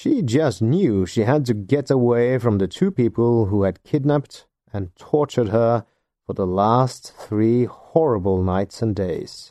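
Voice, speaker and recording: Against a quiet background, a man with a Norwegian accent talks at a fairly slow pace, his dark, mellow tone moving with lively intonation. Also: medium pitch for a man. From Norway. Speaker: podcast host. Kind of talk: scripted narration.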